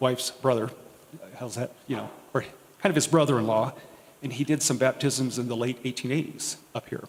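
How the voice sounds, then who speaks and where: A soft-spoken man's voice at medium pitch with fairly even intonation. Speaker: diocesan historian and archivist. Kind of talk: talk to parish audience.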